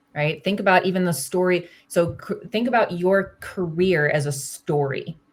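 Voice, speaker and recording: A woman speaks at a moderate pace, her voice somewhat breathy. Her pitch varies in an ordinary way. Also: fairly low pitch for a woman, hardly any pauses. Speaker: career coach. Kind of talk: one-on-one coaching call.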